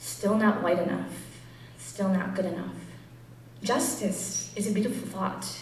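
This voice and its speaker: A woman's medium-pitched voice amid noticeable background noise. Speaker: spoken word poet. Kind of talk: spoken word poetry performance.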